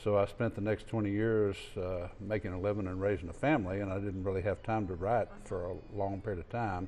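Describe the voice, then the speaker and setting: This man's fairly low voice has a dark, mellow tone and fairly even intonation. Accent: West Texas. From West Texas (Fort Stockton, Alpine). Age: 60s. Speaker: author. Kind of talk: interview.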